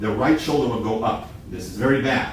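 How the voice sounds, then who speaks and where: Over noticeable background noise and audible room echo, a man speaks at a moderate pace and medium pitch with ordinary pitch variation. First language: Hebrew. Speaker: shooting instructor. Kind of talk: hands-on instruction. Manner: halting.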